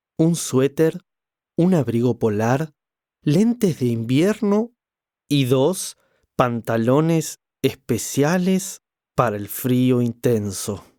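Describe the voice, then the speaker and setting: Very slow speech with long, frequent pauses from a man with an Argentine accent, medium pitch, a dark, mellow tone and lively intonation, in a dry, close sound with no echo. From Argentina.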